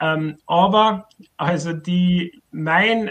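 A man with an Austrian accent talks at a high pitch. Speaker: writer and author on socialist theory. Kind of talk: casual discussion. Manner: halting, many fillers.

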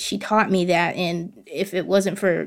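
A woman with a Southern US accent talks at a medium pitch in a monotone, flat intonation, with vocal fry. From US South, central Arkansas. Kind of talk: casual interview. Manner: confident, candid.

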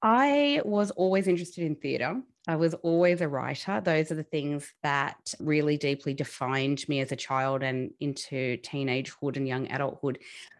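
Over a quiet background, a woman with an Australian accent speaks at a moderate pace with hardly any pauses. Her pitch is very deep and low, with ordinary variation. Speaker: podcast host and magazine publisher. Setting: video call, audio only.

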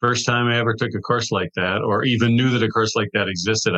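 A man's bright, sharp voice at a very fast pace, dry and close with no echo. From US Midwest, Wisconsin. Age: 60s. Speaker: author and TV writer. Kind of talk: interview.

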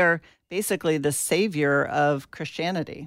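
A woman speaks in an ordinary speaking voice with an American accent and a fairly low pitch. Her pitch variation is ordinary, and the recording is very clean with a silent background. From US South, Atlanta, Georgia. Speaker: pastor and progressive faith activist. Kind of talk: interview.

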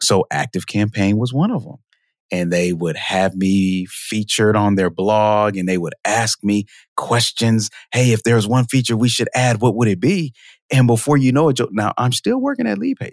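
In a very clean recording with a silent background, a man with a fairly low pitch speaks in an ordinary speaking voice at a moderate pace with ordinary pitch variation. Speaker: marketing automation expert. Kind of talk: casual interview. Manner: conversational, fillers.

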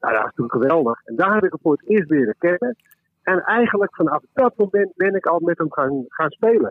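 This man talks at a fairly quick pace in a high pitch, with very wide pitch swings. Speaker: musician. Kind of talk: casual chat. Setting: phone call.

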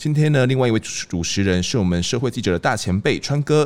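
A man speaks at a fairly quick pace with lively intonation in an ordinary speaking voice. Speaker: crime reporter and podcast host. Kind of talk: casual conversation; scripted intro.

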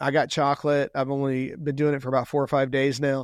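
Fairly high-pitched, a man with a Texan accent speaks against a quiet background, the sound dry and close with no echo. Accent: Texan American. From Texas, Houston. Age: 50s. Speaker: longevity entrepreneur. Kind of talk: podcast interview.

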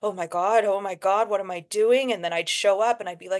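Against a quiet background, a woman with a fairly low pitch speaks in an animated tone. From Alberta, Canada (Métis Cree, Edmonton). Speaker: actor and filmmaker. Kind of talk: interview.

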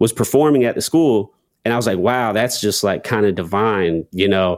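A man with an American accent uses an ordinary speaking voice at a fairly low pitch and moderate pace, in a very clean recording with a silent background and a dry, close sound with no echo. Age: 20s. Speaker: rapper and content creator. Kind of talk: interview.

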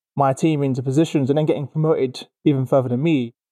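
A man speaks very fast with a London accent and a dark, mellow tone. The sound is dry and close, with no echo. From East London. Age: 30s. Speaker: HR company CEO and podcast host. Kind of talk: casual interview. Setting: studio.

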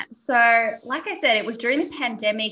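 A woman with an Australian accent speaks in a fairly high pitch. Her tone is bright and sharp, with ordinary pitch variation. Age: 20s. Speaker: entrepreneur. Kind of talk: interview.

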